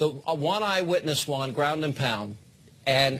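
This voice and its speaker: With lively intonation and a fairly slow pace, a man speaks in an unremarkable speaking voice at a fairly high pitch. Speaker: TV host. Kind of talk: TV debate moderating.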